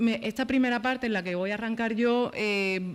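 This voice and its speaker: This is a woman speaking. Her pace is moderate. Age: 30s. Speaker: journalist and panel speaker. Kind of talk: round-table talk. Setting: panel with live audience. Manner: soft-spoken; halting, many repetitions.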